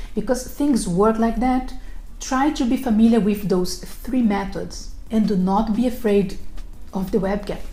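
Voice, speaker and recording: A woman with a non-native accent speaks at a fairly slow pace and a fairly high pitch, with ordinary pitch variation. Music plays in the background, and there is audible room echo. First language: not English. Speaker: recruiter and career advice video host. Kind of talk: scripted tutorial. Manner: formal.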